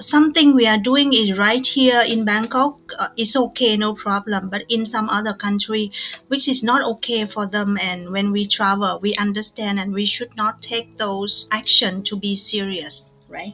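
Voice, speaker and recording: Spoken at a moderate pace with ordinary pitch variation, this bright, sharp voice carries a Vietnamese accent and hardly any pauses. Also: woman, fairly high pitch for a woman. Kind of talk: casual podcast conversation.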